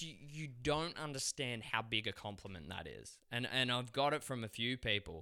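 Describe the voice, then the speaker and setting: In a very clean recording with a silent background, a man at a medium pitch speaks at a moderate pace with hardly any pauses, ordinary pitch variation and a bright, sharp tone. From Australia. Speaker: actor. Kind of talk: casual chat.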